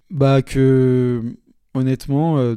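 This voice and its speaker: A man's medium-pitched voice, dark and mellow in tone, on a very clean recording with a silent background. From Paris, France. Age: 20s. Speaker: sales representative. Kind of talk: casual interview chat.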